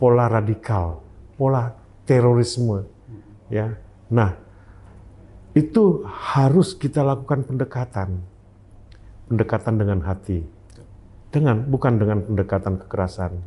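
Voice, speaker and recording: The speaker's lively intonation comes at a fairly slow pace, broken by long, frequent pauses. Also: man. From Aceh, Indonesia. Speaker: army officer; interview guest. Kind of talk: interview. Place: meeting room. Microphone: lapel.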